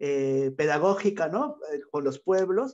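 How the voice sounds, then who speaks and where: At a fairly slow pace, a man is talking. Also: quiet background. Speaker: workshop facilitator. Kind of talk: online workshop. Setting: video call. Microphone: earbuds.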